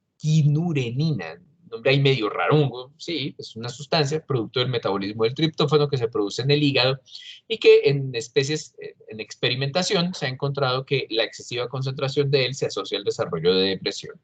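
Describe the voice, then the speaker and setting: A somewhat breathy man, fairly high in pitch, at a fairly quick pace, with ordinary pitch variation and big swings in loudness. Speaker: doctor, expert speaker on exercise physiology. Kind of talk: lecture. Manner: halting, many fillers.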